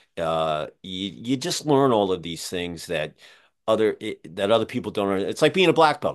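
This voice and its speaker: A man with an American accent uses an ordinary speaking voice at a fairly low pitch. He keeps a moderate pace with lively intonation against a quiet background. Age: 60s. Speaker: podcast host. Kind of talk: casual interview.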